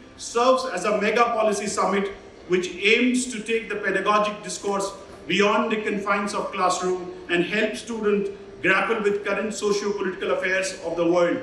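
Raised and projected, the voice keeps a fairly even intonation, with audible room echo and light background noise. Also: man. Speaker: host college official giving welcome address. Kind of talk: formal welcome speech. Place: hall.

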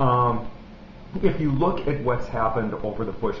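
Light background noise accompanies the man speaking, and audible room echo colors the sound. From Pittsburgh, Pennsylvania. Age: 40s. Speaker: political activist vlogger. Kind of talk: video blog monologue. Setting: at home in his apartment. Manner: hesitant, many fillers. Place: home room. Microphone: webcam.

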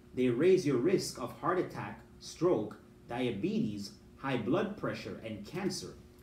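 A man at a slow pace, slightly mellow in tone, with big pitch swings and audible room echo. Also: medium pitch for a man.

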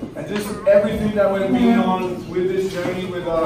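A man speaks with fairly even intonation. Audible room echo and noticeable background noise come through. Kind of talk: emotional speech to audience. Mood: earnest, emotional. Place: bar. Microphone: camera far.

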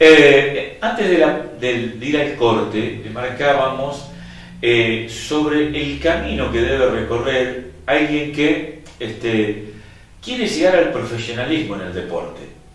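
A man speaks very slowly at a medium pitch with lively intonation. Strong room echo surrounds his voice. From Argentina. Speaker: local TV sports host. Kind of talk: interview; opinion commentary. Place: studio.

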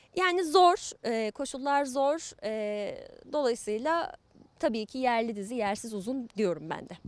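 With very wide pitch swings, a woman talks very slowly at a high pitch in a dry sound with no echo. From Turkey, Ankara. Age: 30s. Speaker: actress and voice dubbing artist; actress. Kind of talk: interview. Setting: outdoors in the sun. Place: garden. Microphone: handheld.

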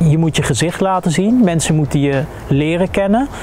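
Faint background music behind a man's fairly high voice, fairly slow in pace, with ordinary pitch variation. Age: 40s. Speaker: experiential social worker, military veteran. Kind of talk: interview testimony. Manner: halting, many hesitations. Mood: calm, reflective, serious. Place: garden. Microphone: lapel.

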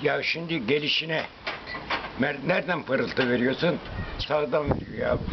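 A man talks at a moderate pace. There is noticeable noise in the background. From Aydın, Turkey. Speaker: pigeon breeder. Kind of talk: interview answer. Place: home room. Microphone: phone near.

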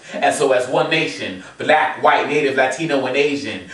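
There is audible room echo and light background noise. A man speaks at a fairly high pitch with ordinary pitch variation. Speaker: spoken word poet. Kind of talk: spoken word poetry performance. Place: home room. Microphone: camera far.

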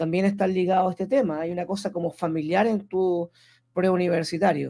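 His voice is high for a man, with a dark, mellow tone and fairly even intonation. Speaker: radio host. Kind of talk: radio interview.

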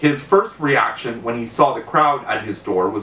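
The clip is plain reading aloud.

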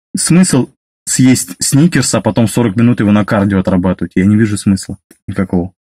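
A man speaks at a moderate pace and a fairly low pitch, with a dark, mellow tone and very even loudness. The background is quiet, and the sound is dry with no echo. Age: 30s. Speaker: driver sharing weight-loss story. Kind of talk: personal testimony monologue; casual vlog chat. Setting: self-recorded video. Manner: halting with fillers. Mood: calm, matter-of-fact. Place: car. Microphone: phone near.

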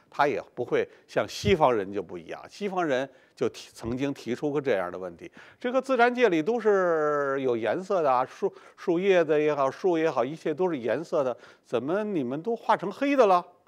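A man talks at a moderate pace over a quiet background. His loudness swings widely, and his pitch swings very widely. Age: 70s. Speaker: painter and lecturer; lecturer. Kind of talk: lecture. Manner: frequent filler particles. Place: studio. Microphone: lapel.

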